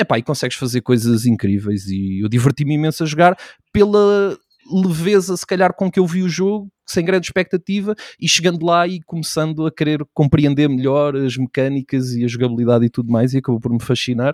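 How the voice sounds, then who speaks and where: In a very clean recording with a silent background, a man with an unremarkable speaking voice and a fairly high pitch talks at a fairly quick pace, the sound dry and close with no echo. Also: lively intonation. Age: 20s. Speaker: gaming streamer. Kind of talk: casual chat.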